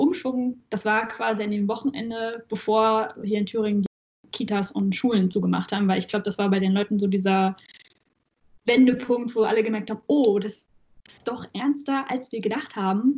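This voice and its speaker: This woman's voice is somewhat breathy. She keeps a moderate pace and fairly even intonation. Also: fairly high pitch for a woman. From Saxony-Anhalt, Germany. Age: 20s. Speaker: university student and supermarket worker. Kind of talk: casual chat. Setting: video call.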